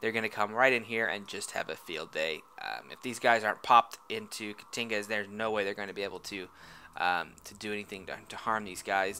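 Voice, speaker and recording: A man talks at a fairly quick pace with a bright, sharp tone, a fairly low pitch, and big swings in loudness. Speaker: game commentator. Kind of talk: live commentary. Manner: fast; animated.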